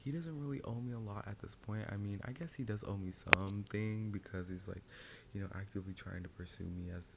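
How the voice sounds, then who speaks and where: Soft-spoken and fairly quick, this man has a fairly low voice with a bright, sharp tone. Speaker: ASMR storyteller. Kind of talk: storytime. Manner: whispering.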